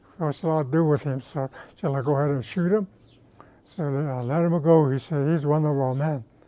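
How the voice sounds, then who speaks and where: A man with a fairly high pitch and a dark, mellow tone speaks at a moderate pace with long, frequent pauses. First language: Navajo. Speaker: war veteran. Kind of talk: interview storytelling. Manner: halting.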